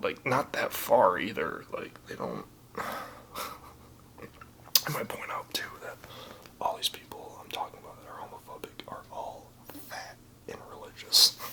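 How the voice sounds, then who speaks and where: Whispering at a moderate pace with big swings in loudness, long, frequent pauses and noticeable background noise. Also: man. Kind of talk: ASMR personal story. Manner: whispered.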